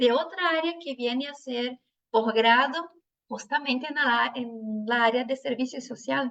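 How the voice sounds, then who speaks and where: A woman speaks with a Brazilian accent. Her pitch is high, with ordinary pitch variation. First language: Portuguese (speaking Spanish). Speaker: social work professor. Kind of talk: academic panel talk. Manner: slow; reading from notes.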